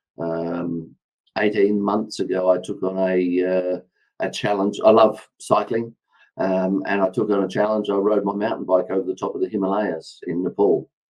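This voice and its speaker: A man's fairly low-pitched voice with an Australian accent and fairly even intonation. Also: moderate pace. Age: 60s. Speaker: former police officer and public speaker. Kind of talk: podcast interview.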